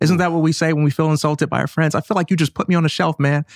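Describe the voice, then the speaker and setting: An animated tone from a man in a very clean recording with a silent background. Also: dry, close sound with no echo. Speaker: podcast guest. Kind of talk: casual chat.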